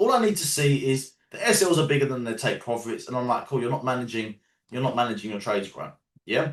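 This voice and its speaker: A man with a London accent talks at a very fast pace. His tone is animated and passionate. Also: medium pitch for a man, lively intonation. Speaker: trading educator. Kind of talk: live online training call. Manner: animated, passionate.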